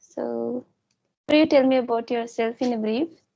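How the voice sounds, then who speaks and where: A woman with an Indian accent. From India, Chhattisgarh. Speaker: English learner YouTuber. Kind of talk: interview. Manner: halting.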